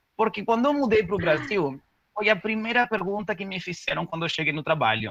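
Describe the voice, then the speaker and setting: This man speaks with a Spanish accent and lively intonation. His pitch is high and his tone is bright and sharp. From Uruguay. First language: Spanish (speaking Portuguese). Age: 30s. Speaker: corporate diversity manager. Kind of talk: webinar presentation. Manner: casual, hesitant with fillers.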